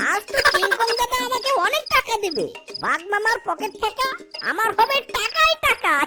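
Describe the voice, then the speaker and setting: A cartoonish character voice at a moderate pace over loud music in the background. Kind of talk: comic cartoon acting. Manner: cheeky, boastful.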